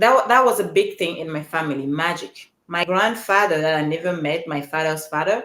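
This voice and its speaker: In a Cameroonian accent, a woman with a very deep, low pitch talks at a fairly quick pace with ordinary pitch variation. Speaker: podcast coach and speaker. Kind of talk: live stream monologue. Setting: live stream.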